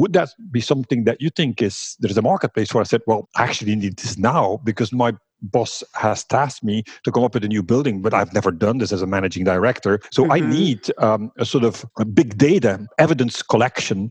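Lively intonation carries this fairly quick delivery in a Flemish accent. The sound is dry and close, with no echo. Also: man, medium pitch for a man, quiet background. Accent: Flemish Belgian English. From Flanders, Belgium. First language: Dutch (Flemish). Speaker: workplace design company founder. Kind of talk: interview.

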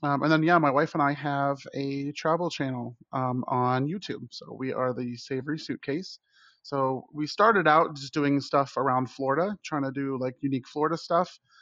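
A man with a plain, everyday voice talks at a fairly high pitch and moderate pace, with fairly even intonation and hardly any pauses. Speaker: chef panelist. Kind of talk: casual chat.

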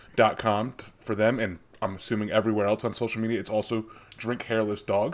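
This is an unremarkable speaking voice. The pace is fairly quick. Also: man. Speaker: podcast host. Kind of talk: casual chat.

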